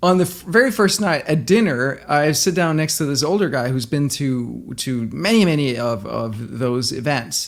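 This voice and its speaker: Speaking with a slight Danish accent, a man keeps a moderate pace and hardly pauses. His pitch is fairly high and his intonation lively. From Denmark. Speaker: entrepreneur. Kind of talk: interview.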